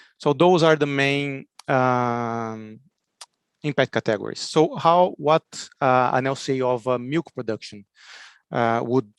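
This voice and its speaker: With a Brazilian accent, a man talks at a fairly slow pace in a medium pitch and fairly even intonation, recorded with a dry, close sound and no echo. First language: Portuguese. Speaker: agricultural researcher. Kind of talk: conference presentation. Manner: halting, many fillers.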